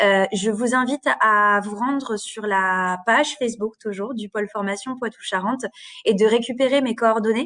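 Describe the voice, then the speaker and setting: Against a quiet background, a woman speaks at a fairly slow pace with fairly even intonation. Her pitch is fairly high and her tone bright and sharp. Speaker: career guidance advisor at a training centre. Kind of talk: live stream presentation. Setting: Facebook live stream. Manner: hesitant, many fillers.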